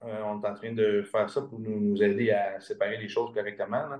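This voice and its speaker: A man's a plain, everyday voice holds a medium pitch as he talks at a moderate rate. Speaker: integrative medicine practitioner. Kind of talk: interview.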